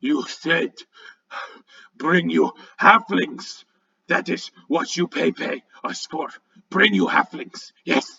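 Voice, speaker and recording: A man performs a put-on character voice, pitched high. He speaks at a very slow pace. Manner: argumentative, demanding.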